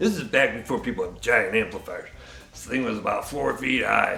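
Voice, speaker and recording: Over clear background noise, a man uses a raspy, put-on character voice at a fairly quick pace. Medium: short film. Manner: rambling, blunt.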